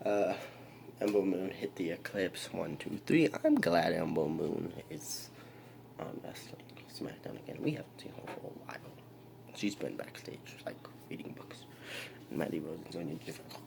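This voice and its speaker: A man whispers at a moderate pace, with big swings in loudness. His speech has long, frequent pauses. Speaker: wrestling show reviewer. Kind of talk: casual recap vlog.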